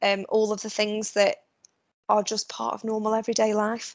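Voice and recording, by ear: A woman talks at a moderate pace in a medium pitch, her intonation flat and monotone.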